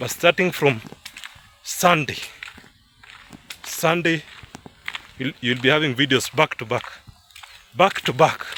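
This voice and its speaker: Over noticeable background noise, a man with a Kenyan accent talks at a fairly slow pace with long, frequent pauses, a fairly high pitch, and ordinary pitch variation. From Kenya, Kalenjin (Kipsigis) area. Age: 20s. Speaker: vlogger. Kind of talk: casual vlog narration outdoors. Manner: halting, many fillers and repeats.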